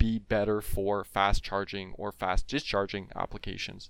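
Speaking at a moderate pace with a Canadian accent, a man has a plain, everyday voice and ordinary pitch variation. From Ontario, Canada (Franco-Ontarian). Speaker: chemistry PhD student. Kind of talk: casual interview explaining research.

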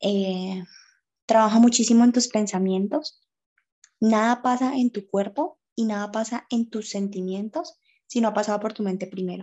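Her voice is a plain, everyday voice, as a woman speaks at a fairly high pitch and a moderate pace with ordinary pitch variation. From Colombia, Cali. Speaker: makeup artist and makeup teacher. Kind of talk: casual interview on faith and depression.

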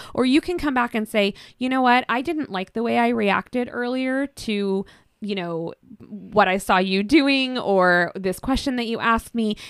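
A woman with a Pacific Northwest accent and fairly high pitch, on a very clean recording with a silent background and a dry, close sound with no echo. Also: ordinary pitch variation, moderate pace. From Washington State, Kitsap Peninsula. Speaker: sex coach and shop owner. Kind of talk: casual interview chat. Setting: studio.

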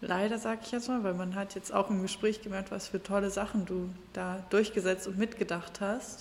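A woman talks at a moderate pace in a medium pitch, her intonation monotone and flat. Noticeable background noise runs behind her. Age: 20s. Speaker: podcast host, party volunteer. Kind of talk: interview.

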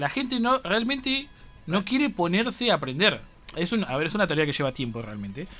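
Over music in the background, a man with a high voice talks at a fairly quick pace in a raised, projected voice, his pitch swinging very widely. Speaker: university radio host. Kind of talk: casual radio chat.

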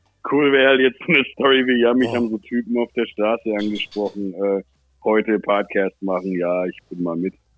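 A man's fairly low voice at a moderate pace, with ordinary pitch variation and a plain, everyday voice. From Germany, Ansbach (Franconia). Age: 30s. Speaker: rapper. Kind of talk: casual chat.

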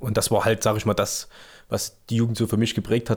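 A man's fairly low voice is heard on a very clean recording against total silence. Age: 30s. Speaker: amateur American football player and youth coach. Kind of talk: casual interview. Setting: outdoors at club summer party.

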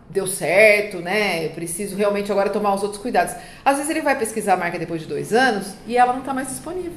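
A woman with a medium-pitched voice speaks with lively intonation. Audible room echo and noticeable background noise surround her. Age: 40s. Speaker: trademark and patent consultant. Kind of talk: casual interview. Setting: office, in person.

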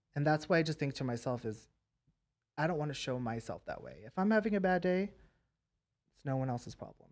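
A man with a fairly high pitch talks at a fairly quick pace, with lively intonation and big swings in loudness. He leaves long, frequent pauses. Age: 20s. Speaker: celebrity makeup artist. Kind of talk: casual chat.

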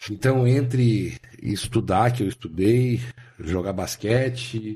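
A somewhat breathy, dark, mellow tone with fairly even intonation. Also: man. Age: 50s. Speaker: car and motorcycle dealer. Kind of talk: casual interview chat.

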